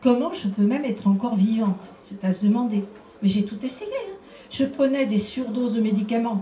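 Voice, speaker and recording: With audible room echo and noticeable background noise, a woman talks at a fairly quick pace in a fairly high voice with ordinary pitch variation. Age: 70s. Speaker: abuse survivor and association founder. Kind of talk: conference talk.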